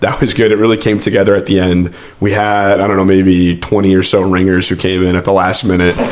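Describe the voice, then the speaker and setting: A man with a very deep, low pitch, monotone, flat intonation and very even loudness, at a very fast pace with hardly any pauses, over noticeable background noise. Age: 20s. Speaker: amateur choral singer. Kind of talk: casual podcast conversation.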